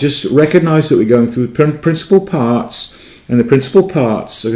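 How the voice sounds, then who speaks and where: A man with a dark, mellow tone speaks with lively intonation, and audible room echo surrounds his voice. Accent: English. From England. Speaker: Greek teacher. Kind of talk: lecture. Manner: halting, many fillers and restarts.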